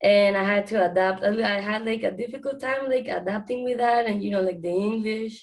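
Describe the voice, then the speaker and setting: A woman with a Spanish accent speaks at a fairly quick pace and a fairly high pitch, her intonation fairly even. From Panama. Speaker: student intern. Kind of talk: panel discussion.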